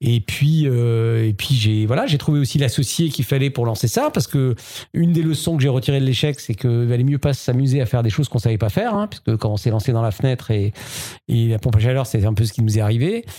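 At a very fast pace, a man speaks at medium pitch with ordinary pitch variation and very even loudness. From Alsace, France (Strasbourg). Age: 50s. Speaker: entrepreneur. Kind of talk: interview. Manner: hesitant, many fillers.

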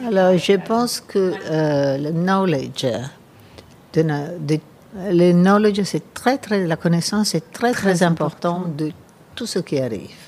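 Speaking with an Italian accent, a woman at a fairly low pitch moves at a fairly slow pace with long, frequent pauses. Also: ordinary pitch variation. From Italy. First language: Italian (speaking French). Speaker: gallerist and design curator. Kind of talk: interview. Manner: halting.

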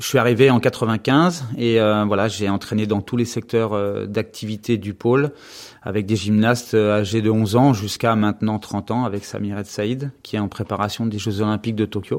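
A man speaks at a moderate pace in a normal speaking voice, fairly low in pitch with fairly even intonation, in a very clean recording with a silent background. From western France (Anjou). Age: 50s. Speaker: gymnastics coach. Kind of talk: interview. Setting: office at the gym.

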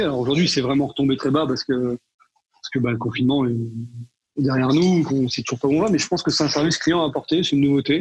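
A man rattles along very fast in a fairly high register with ordinary pitch variation. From northern France, Tourcoing (Nord). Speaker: chef. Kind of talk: interview. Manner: halting, many repetitions and fillers.

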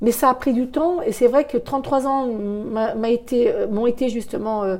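The tone is dark and mellow. Delivery comes at a fairly slow pace with ordinary pitch variation. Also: woman. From France, Thonon-les-Bains (Haute-Savoie). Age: 60s. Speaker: perfume shop owner. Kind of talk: interview. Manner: halting, many hesitations.

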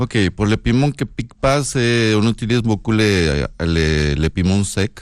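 Using lively intonation, a man with a fairly low pitch talks at a very slow pace. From northern Mexico (Sonora). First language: Spanish (speaking French). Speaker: chef. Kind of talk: casual chat.

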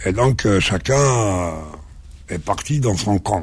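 A man speaks at a fairly slow pace. His fairly low voice is somewhat breathy. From Algeria, Kabylie village then Algiers. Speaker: journalist and actor. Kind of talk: radio interview.

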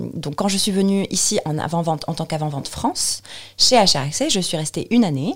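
A woman with a fairly low, somewhat breathy voice speaks at a fairly quick pace with lively intonation. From Tunisia, Tunis. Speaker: software presales consultant. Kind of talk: interview testimony. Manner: hesitant, with many fillers.

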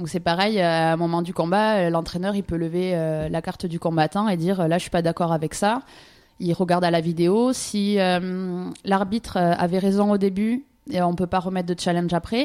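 Fairly even in intonation, a plain, everyday voice goes along at a moderate pace. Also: woman, fairly low pitch for a woman. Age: 20s. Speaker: ju-jitsu champion and judo coach. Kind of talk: radio interview.

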